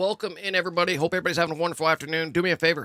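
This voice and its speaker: Loud, energetic and bright with a sharp edge, the voice races at a very fast pace with ordinary pitch variation. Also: man. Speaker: gaming live streamer. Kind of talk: live gameplay stream chat. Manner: casual, energetic.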